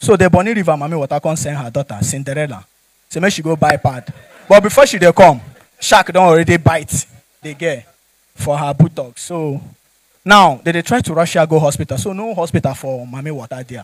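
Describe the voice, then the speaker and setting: A man with a Nigerian accent speaks at a fairly quick pace in an animated tone. The background is quiet, and the sound is dry with no echo. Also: ordinary pitch variation, big swings in loudness. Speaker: stand-up comedian. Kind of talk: stand-up comedy with Nigerian Pidgin storytelling. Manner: animated, jokey, laughs at own punchlines; conversational, addresses audience directly. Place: stage. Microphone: handheld.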